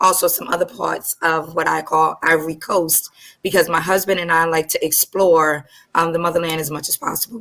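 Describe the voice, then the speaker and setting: A woman with a New York accent speaks with fairly even intonation. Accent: New York American. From Brooklyn, New York. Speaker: co-host and business consultant. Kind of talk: panel discussion.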